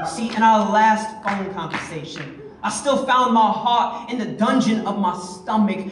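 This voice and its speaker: A man's high pitch with ordinary pitch variation, at a fairly slow pace with hardly any pauses, amid noticeable background noise. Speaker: spoken word poet. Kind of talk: slam poetry performance. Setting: live venue.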